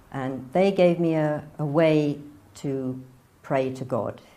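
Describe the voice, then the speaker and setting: Dark, mellow tone with fairly even intonation and audible room echo. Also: woman. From northern England, near Manchester. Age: 60s. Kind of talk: personal testimony interview.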